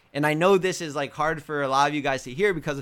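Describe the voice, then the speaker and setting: The voice has a bright, sharp tone and ordinary pitch variation on a very clean recording with a silent background. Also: man. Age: 20s. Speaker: fitness coach and podcast host. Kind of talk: motivational talk. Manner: animated.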